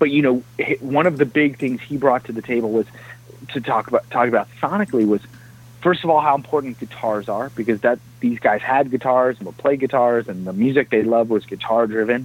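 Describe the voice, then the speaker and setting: In an American accent, a man with a normal speaking voice talks at a fairly quick pace, his pitch medium with ordinary variation. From New Jersey, Jersey City. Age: 30s. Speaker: film composer. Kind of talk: interview.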